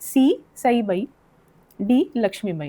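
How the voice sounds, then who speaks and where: A woman speaks with a fairly high pitch and a dark, mellow tone. Her intonation is lively, and the sound is dry and close with no echo. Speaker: quiz show host. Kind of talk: quiz show hosting.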